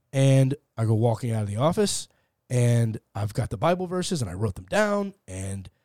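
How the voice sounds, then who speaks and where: In a very clean recording with a silent background, a man with a medium pitch and a dark, mellow tone speaks at a moderate pace, somewhat breathy, his pitch swinging very widely. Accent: American. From Texas, Fort Worth. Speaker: atheist podcaster. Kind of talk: conversational interview. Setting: studio.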